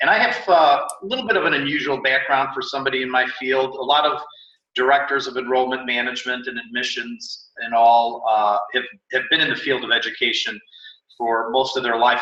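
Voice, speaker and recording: A man's medium-pitched voice with a Chicago accent, fairly quick pace, fairly even intonation and audible room echo. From US Midwest, Chicago. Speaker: university admissions director. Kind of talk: interview. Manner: hesitant, many fillers.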